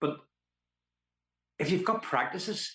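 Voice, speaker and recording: A man speaks with a Northern Irish accent. His pace is fairly slow. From Belfast, Northern Ireland. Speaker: actor, musician, storyteller. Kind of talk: interview answer.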